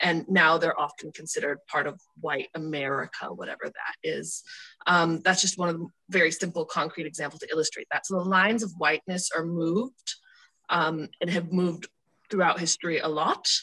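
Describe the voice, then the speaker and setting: Against a quiet background, a woman talks at a fairly quick pace in a fairly low pitch, her bright, sharp tone holding fairly even intonation. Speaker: student. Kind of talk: group discussion. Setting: video call. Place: home room. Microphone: video call.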